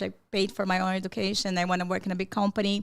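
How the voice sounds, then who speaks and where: Someone with a Brazilian accent talks at a very fast pace. The recording is very clean with a silent background. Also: woman. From Brazil, São Paulo. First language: Portuguese. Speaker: psychologist. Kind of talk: podcast interview.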